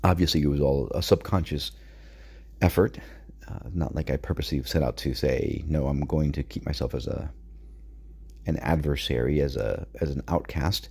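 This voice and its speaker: Vocal fry marks a man's very deep, low voice as he moves at a moderate pace with ordinary pitch variation and long, frequent pauses. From Puerto Rico, then Connecticut. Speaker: podcast host. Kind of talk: personal monologue, confessional. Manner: reflective, somewhat halting.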